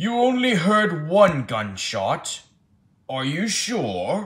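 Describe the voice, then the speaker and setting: At middle pitch, a put-on character voice moves at a very slow pace. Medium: audio drama. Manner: slow, deliberating.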